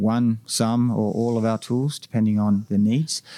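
With an Australian accent, a man talks at a moderate pace in a medium-pitched, dark, mellow tone with fairly even intonation, recorded very cleanly against a silent background with a dry, close sound and no echo. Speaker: tech company founder and CEO. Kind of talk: interview. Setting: conference venue.

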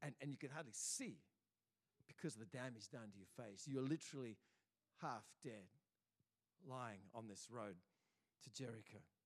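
A man with an Australian accent, animated in tone, with lively intonation and a moderate pace. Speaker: pastor. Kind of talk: sermon; dramatic second-person storytelling in a sermon. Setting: church. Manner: animated, vivid storytelling; building suspense, dramatic pacing.

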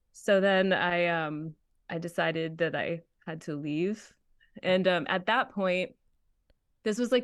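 Over a quiet background, a woman with an American accent uses an ordinary speaking voice with a fairly low pitch, fairly even intonation and a fairly slow pace. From Massachusetts, US. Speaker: voice actor. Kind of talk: casual chat.

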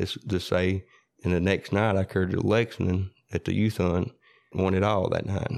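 This man has a very deep, low voice and a West Tennessee accent, speaking at a moderate pace. His delivery is monotone and flat, with very even loudness. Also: quiet background. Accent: Southern US (West Tennessee). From US South, Parsons, Tennessee. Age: 40s. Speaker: coon hunter. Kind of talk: casual storytelling interview. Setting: in-person interview.

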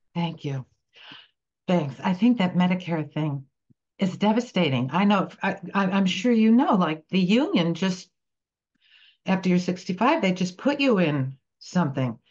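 A woman with an American accent speaks fairly slowly in a medium, somewhat breathy voice. Her intonation is lively, broken by long, frequent pauses. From New Jersey. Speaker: playwright and actor. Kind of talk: interview. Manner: halting.

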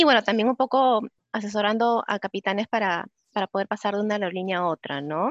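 Recorded dry and close with no echo, a woman talks fairly quickly at a medium pitch with ordinary pitch variation. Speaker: psychologist and recruiter. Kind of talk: webinar talk.

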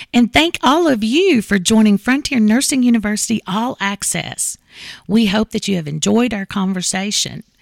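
A woman with an Appalachian accent speaks at a moderate pace and fairly high pitch, with lively intonation. The sound is dry and close with no echo, in a very clean recording with a silent background. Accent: Appalachian Kentucky. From Eastern Kentucky, US. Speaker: podcast host. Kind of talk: casual interview. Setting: studio.

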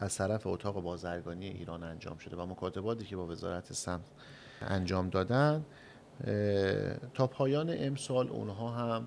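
With lively intonation, an ordinary speaking voice keeps to a moderate pace. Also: man, fairly low pitch for a man. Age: young. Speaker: chamber of commerce head. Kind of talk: radio interview. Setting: studio.

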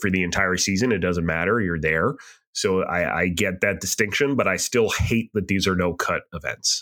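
A man talks at a moderate pace with a very deep, low pitch, ordinary pitch variation and very even loudness. His tone is bright and sharp, and the recording is very clean with a silent background. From southern New Hampshire. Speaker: podcast co-host. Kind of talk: casual chat.

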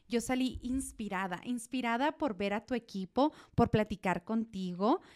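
The recording is very clean, with a silent background and a dry, close sound with no echo. It carries an ordinary speaking voice. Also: woman. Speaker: podcast host. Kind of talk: interview conversation.

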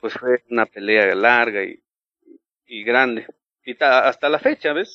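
A man with a Mexican accent speaks at a medium pitch and a fairly slow pace, with ordinary pitch variation. His loudness swings widely, and he takes long, frequent pauses. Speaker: former church member. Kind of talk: interview.

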